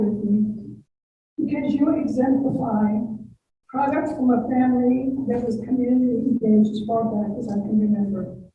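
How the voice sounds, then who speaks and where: With audible room echo around her, a woman speaks in a high pitch with an American accent. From San Jose, California. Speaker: former elected official. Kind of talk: speech at club meeting. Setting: video call.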